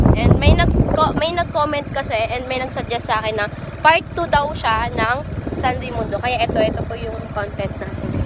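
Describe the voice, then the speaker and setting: The talking proceeds at a moderate pace. Behind it, music is playing. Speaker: vlogger. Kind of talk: travel vlog.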